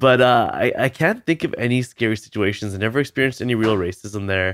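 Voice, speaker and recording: A man with a Canadian accent and medium pitch talks at a very fast pace with ordinary pitch variation, recorded very cleanly against a silent background. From Canada (British Columbia). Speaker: optometrist. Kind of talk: casual chat.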